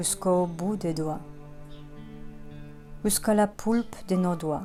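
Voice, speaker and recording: A woman with a Polish accent, calm in tone, at a very slow pace and with fairly even intonation, with music in the background. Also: medium pitch for a woman. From Poland. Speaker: sophrologist, hypnotherapist. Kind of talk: guided relaxation session. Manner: calm, slow, soft-spoken.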